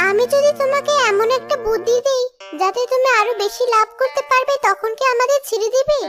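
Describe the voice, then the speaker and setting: A female-sounding cartoonish character voice, pitched extremely high, moves at a moderate pace. Loud music plays in the background. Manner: calm, reasoning.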